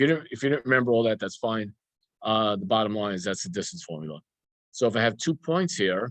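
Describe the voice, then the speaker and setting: A man at a medium pitch with very wide pitch swings and a very fast pace, in a dry, close sound with no echo. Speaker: math teacher. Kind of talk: lecture. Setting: screen-shared recorded online class. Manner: halting, many repetitions and fillers.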